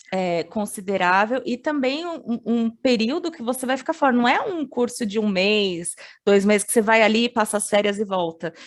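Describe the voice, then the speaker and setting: A woman with an unremarkable speaking voice, fairly high pitch, lively intonation and moderate pace. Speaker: international education advisor. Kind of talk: webinar presentation.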